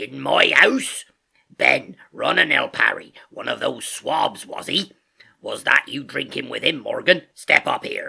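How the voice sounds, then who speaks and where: A raspy put-on character voice at a fairly slow pace. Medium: read story. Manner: hearty, blustering sea talk.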